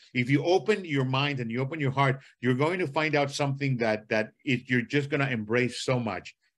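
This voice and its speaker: A man with a Spanish accent, medium pitch and ordinary pitch variation, talking at a fairly quick pace with hardly any pauses. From Costa Rica. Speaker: symphony conductor. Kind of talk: podcast interview. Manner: animated.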